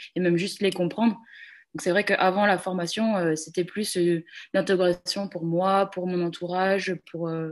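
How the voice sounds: At a moderate pace, a woman speaks in a fairly low pitch with fairly even intonation.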